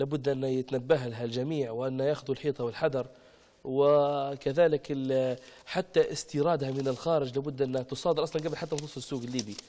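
Fairly high pitch from a man, dark and mellow in tone. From Libya. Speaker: engineer and radio presenter; talk show guest. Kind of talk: TV talk show interview. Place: studio. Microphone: lapel.

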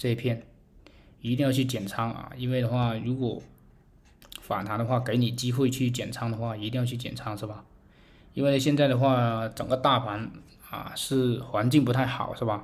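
With audible room echo, a man at medium pitch talks at a moderate pace in a somewhat breathy, monotone voice, leaving long, frequent pauses. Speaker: crypto market commentator. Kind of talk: chart analysis tutorial. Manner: many filler particles (啊).

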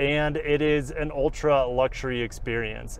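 A man speaks, the sound dry with no echo. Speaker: car reviewer. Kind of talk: casual vlog commentary while driving. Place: car.

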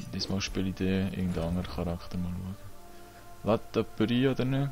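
Music in the background under a man's very deep, low voice with a Swiss German accent, fairly quick in pace, with ordinary pitch variation. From Switzerland. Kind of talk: casual let's play gaming talk.

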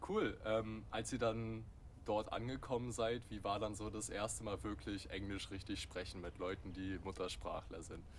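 With vocal fry and fairly even intonation, a man speaks at a moderate pace in a fairly low voice. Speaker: interviewer. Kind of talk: interview.

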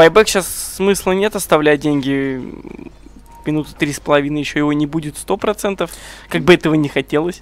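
Over noticeable background noise, the speaker goes at a fairly quick pace, with ordinary pitch variation and long, frequent pauses. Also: man, fairly high pitch for a man. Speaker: esports commentator. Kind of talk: live commentary.

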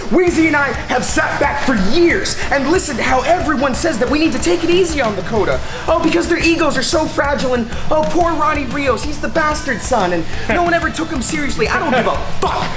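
The pace is very fast as a man talks. Clear music can be heard behind him. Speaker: pro wrestler. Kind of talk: wrestling promo, aggressive and confrontational. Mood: aggressive, taunting. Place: gym.

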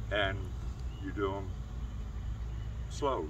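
Noticeable background noise behind a man speaking. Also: dry sound with no echo. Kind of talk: casual explanation. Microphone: camera far.

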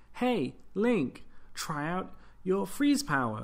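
A man speaks very slowly in a put-on character voice, pitched high. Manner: helpful, chirpy.

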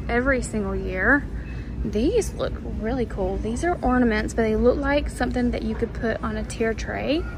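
Against clear background noise, a woman speaks at a fairly slow pace in a fairly high pitch with lively intonation.

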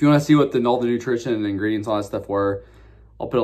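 With a plain, everyday voice, a man speaks at a fairly low pitch with ordinary pitch variation. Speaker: drink reviewer. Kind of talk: casual vlog chat. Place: home room. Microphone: phone near.

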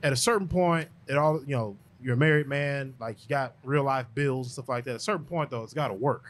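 A man with an ordinary speaking voice talks at a fairly quick pace in a fairly high pitch, with hardly any pauses. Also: ordinary pitch variation. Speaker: podcast host. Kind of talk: casual interview. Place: studio. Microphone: studio mic.

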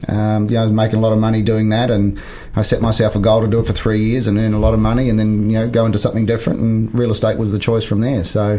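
Speaking very fast with hardly any pauses, a man with a New Zealand accent keeps a fairly low pitch and monotone, flat intonation, with audible room echo and noticeable background noise. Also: very even loudness. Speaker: business coach and former real estate CEO. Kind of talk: interview.

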